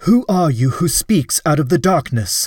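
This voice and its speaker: A growling, put-on character voice with very wide pitch swings. The sound is dry and close, with no echo. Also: man, high pitch for a man, moderate pace. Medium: read story. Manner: formal, dignified.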